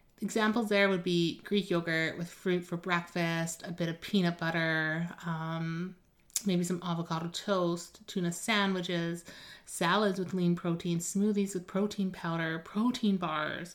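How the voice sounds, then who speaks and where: A woman with a plain, everyday voice talks fairly slowly at a fairly low pitch. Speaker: nutrition coach podcast host. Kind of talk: solo podcast episode, informative talk. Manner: casual, upbeat.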